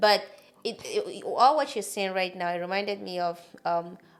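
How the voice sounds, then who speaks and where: With a non-native accent, the speaker keeps a moderate pace and fairly even intonation. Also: woman. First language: not English. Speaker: podcast host. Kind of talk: casual chat.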